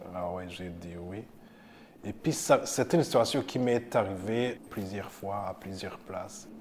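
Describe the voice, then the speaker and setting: At a very slow pace, a man talks in a fairly low voice with ordinary pitch variation. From Burundi. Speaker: community organization worker. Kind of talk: personal testimony.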